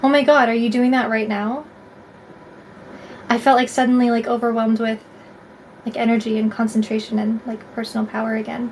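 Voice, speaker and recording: Against noticeable background noise, a woman talks at a fairly quick pace in a fairly high pitch. Her intonation is monotone and flat, broken by long, frequent pauses. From Canada, Alberta. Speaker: tarot reader livestreamer. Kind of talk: live stream chat with viewers. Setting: live stream. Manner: casual, filler-heavy.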